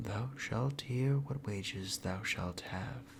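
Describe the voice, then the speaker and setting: Soft-spoken and somewhat breathy, a man at a medium pitch talks at a very slow pace with very wide pitch swings. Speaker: storyteller. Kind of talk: fairy tale read aloud.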